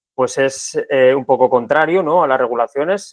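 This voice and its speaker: A plain, everyday voice from a man, fairly high in pitch and fairly quick in pace. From Spain, Segovia. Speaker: podcast host. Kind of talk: interview conversation.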